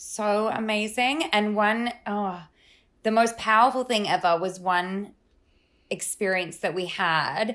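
A woman speaks with an Australian accent at a very slow pace. Her pitch is fairly high, with ordinary variation. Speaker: life coach guest. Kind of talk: casual chat. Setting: video call. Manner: animated.

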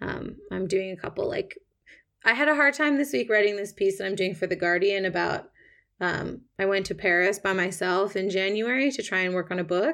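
A woman with an ordinary speaking voice, in a Canadian accent, medium in pitch, lively in intonation, at a moderate pace. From Canada, Toronto. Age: 30s. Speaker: writer. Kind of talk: interview. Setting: remote call.

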